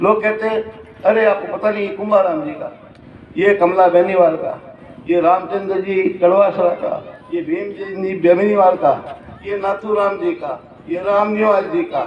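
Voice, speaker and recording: Audible room echo and noticeable background noise surround speech with lively intonation. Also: man, high pitch for a man. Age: 70s. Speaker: hostel owner speaking at public event. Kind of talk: public speech. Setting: stage at public ceremony.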